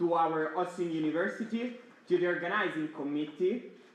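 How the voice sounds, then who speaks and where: Noticeable background noise and audible room echo accompany speech with ordinary pitch variation. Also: man. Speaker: student network board member. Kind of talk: opening speech. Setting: stage with audience. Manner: loud.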